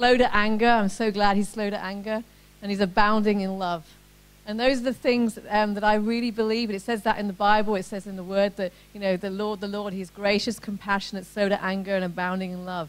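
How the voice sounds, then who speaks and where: A woman with an English accent speaks quickly at a medium pitch, her intonation monotone and flat and her loudness swinging widely. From England. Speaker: ministry event coordinator and speaker. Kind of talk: testimony. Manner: casual, conversational.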